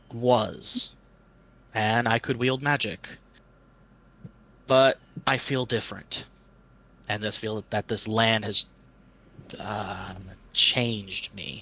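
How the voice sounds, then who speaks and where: Doing a put-on character voice, a raspy man speaks at a medium pitch in a flat monotone, very slowly and with long, frequent pauses. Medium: actual play. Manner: earnest, formal.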